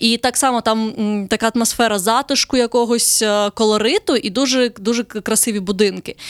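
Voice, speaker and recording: A woman's fairly high-pitched, unremarkable speaking voice at a fairly quick pace. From southern Ukraine. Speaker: travel blogger. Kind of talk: casual interview.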